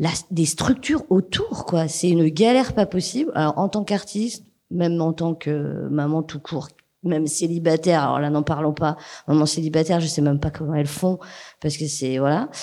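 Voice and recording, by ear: Low in pitch, a woman speaks in a dark, mellow tone. Her pitch shows ordinary variation. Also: moderate pace.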